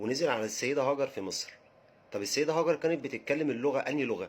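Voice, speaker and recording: A man with an Egyptian accent at a very fast pace, medium pitch, and ordinary pitch variation. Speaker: religious history educator. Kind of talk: casual educational talk. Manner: halting, with repetitions.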